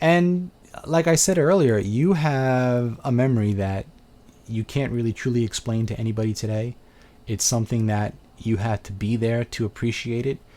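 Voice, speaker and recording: A man with a Brooklyn accent speaks at a moderate pace. His tone is dark and mellow. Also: medium pitch for a man, ordinary pitch variation. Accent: Brooklyn New York. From Brooklyn, New York. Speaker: video game reviewer and channel host. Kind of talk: casual live video chat answering viewer questions. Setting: live webcam video stream.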